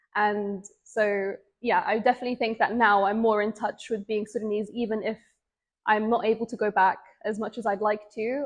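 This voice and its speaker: A woman with an English accent speaks at a moderate pace. Her fairly high voice is monotone and flat. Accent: British English (English). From England. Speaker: interviewee. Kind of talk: interview testimony.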